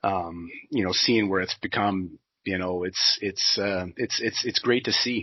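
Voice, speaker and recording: Speaking at a fairly slow pace, a man with an American accent has a fairly low pitch. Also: fairly even intonation. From US Pacific Northwest (southwest Washington). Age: 40s. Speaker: sawmill industry manager. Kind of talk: podcast interview. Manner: hesitant, many fillers and restarts.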